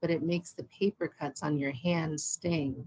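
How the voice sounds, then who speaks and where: The sound is dry and close, with no echo. A woman speaks in a somewhat breathy voice. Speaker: poet. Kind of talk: poetry reading; spoken introduction. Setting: poetry reading event.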